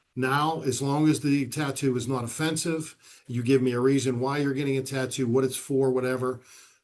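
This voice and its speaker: A man's medium-pitched voice with an American accent at a moderate pace, monotone with flat intonation. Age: 60s. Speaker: police chief. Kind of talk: podcast interview. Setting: video podcast. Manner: conversational.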